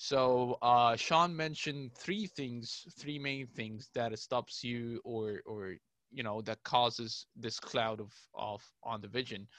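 A man speaks very slowly at a medium pitch, with ordinary pitch variation and a dry, close sound that has no echo. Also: quiet background. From Egypt. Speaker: podcast co-host and producer. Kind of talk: casual chat. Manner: halting, many fillers.

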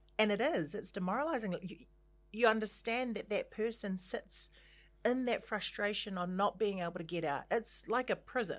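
A woman with a New Zealand accent, medium in pitch with vocal fry, on a very clean recording with a silent background. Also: ordinary pitch variation, moderate pace. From New Zealand, Christchurch. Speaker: singer and actor. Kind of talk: casual chat.

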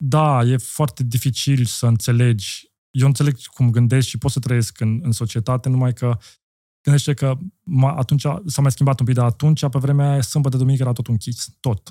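At a moderate pace, a man with a medium pitch speaks in a dark, mellow, somewhat breathy tone with fairly even intonation. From Austria. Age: 40s. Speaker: entrepreneur. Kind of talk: casual chat.

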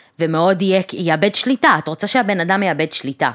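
This is a woman speaking at a fairly low pitch. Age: 30s. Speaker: podcast co-host. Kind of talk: casual chat.

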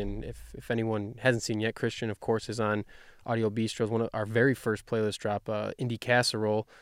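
Talking very fast, a man uses a medium pitch. The recording is very clean, with a silent background. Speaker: podcast host. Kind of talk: casual interview. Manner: casual, laid-back.

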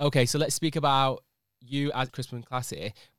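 Delivered in a Manchester accent at a fairly quick pace with fairly even intonation, the speech has a dry, close sound with no echo on a very clean recording with a silent background. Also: man. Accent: Manchester (Mancunian) English. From northern England (Manchester). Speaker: podcast host. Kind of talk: casual chat. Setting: studio.

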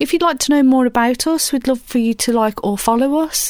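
In a British accent, a woman speaks at a high pitch, the sound dry and close with no echo. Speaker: radio DJ. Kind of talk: radio DJ patter, live chilled-music show links. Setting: radio studio. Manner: relaxed, mellow, friendly.

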